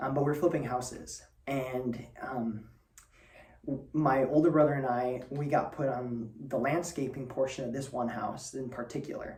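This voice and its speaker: A man's medium-pitched voice at a moderate pace with fairly even intonation, heard in audible room echo. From northern Spain. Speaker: student presenter. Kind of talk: personal talk. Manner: hesitant, many fillers.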